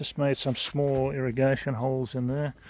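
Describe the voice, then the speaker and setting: A man speaks at a medium pitch with monotone, flat intonation. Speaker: home gardening vlogger. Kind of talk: casual vlog narration. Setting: outdoors in garden. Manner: speaking up loudly over traffic; serious-sounding.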